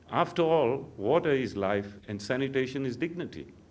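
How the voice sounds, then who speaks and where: A man speaks with lively intonation amid audible room echo. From South Africa. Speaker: water utility expert. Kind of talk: conference welcome speech.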